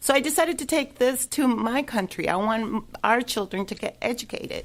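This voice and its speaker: The recording is very clean, with a silent background. A woman speaks at a moderate pace in a high voice with ordinary pitch variation. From El Salvador. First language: Spanish. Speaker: charity project manager. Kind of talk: radio interview. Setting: radio studio.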